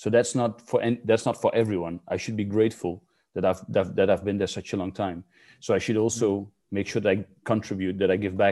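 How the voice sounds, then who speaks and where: Over a quiet background, a man with a Dutch accent speaks at a fairly quick pace in a fairly low pitch, with a dark, mellow tone and a monotone, flat intonation. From rural Netherlands. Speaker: youth football skills coach. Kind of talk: interview.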